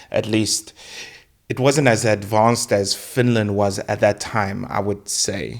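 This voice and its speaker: A man speaks with a fairly low pitch and vocal fry. His intonation stays fairly even. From South Africa. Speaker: podcast host. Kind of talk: casual interview chat.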